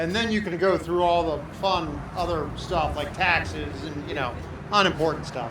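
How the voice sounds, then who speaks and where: A loud, high-pitched man's voice at a moderate pace with ordinary pitch variation, amid audible room echo and noticeable background noise. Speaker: government liaison. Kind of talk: ceremony speech. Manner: halting, many fillers.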